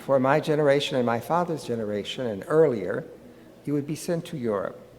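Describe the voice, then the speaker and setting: A man with an American accent at a fairly quick pace, fairly high in pitch with ordinary pitch variation, amid audible room echo. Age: 90s. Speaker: psychologist. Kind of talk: lecture.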